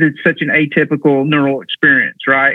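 A man talks in a fairly high voice. He keeps a moderate pace. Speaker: golf mental coach and former firefighter. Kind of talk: casual interview conversation. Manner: halting, filler-heavy, repeats words.

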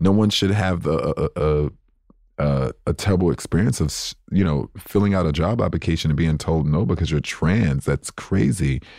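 A dark, mellow tone with vocal fry, very even loudness and a moderate pace. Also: man, very deep, low pitch for a man, ordinary pitch variation. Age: 30s. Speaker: ballroom culture figure, TV personality. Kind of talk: interview.

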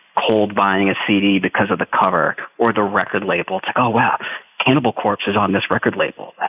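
A man's fairly low voice at a fairly quick pace, with very even loudness, fairly even intonation and noticeable background noise. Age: 30s. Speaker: jazz drummer and teacher. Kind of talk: interview.

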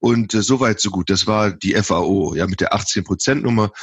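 A man speaks very slowly at a fairly low pitch. The sound is dry and close with no echo, over a quiet background. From western Germany, Lower Rhine (Viersen). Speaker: professor of animal science. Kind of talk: interview. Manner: halting, many fillers.

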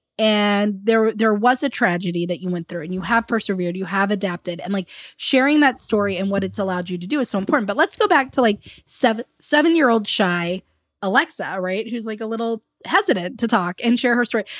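A woman with a normal speaking voice talks fairly quickly at a medium pitch with lively intonation, recorded very cleanly against a silent background with a dry, close sound and no echo. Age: 30s. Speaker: podcast host and business coach. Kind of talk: casual interview chat. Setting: recording at the guest's house.

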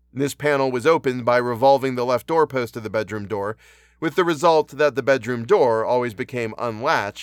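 Natural-voiced reading aloud.

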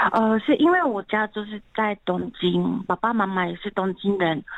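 This woman's medium-pitched voice moves at a moderate pace, its pitch varying in an ordinary way. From Japan, Tokyo. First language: Japanese (speaking Chinese). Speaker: translator. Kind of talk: radio interview.

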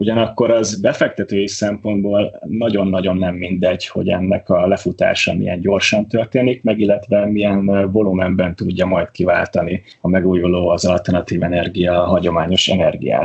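The intonation is monotone and flat, and the loudness is very even. Noticeable background noise runs underneath. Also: man, fairly low pitch for a man, moderate pace, hardly any pauses. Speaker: portfolio manager, water polo player. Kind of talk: casual chat.

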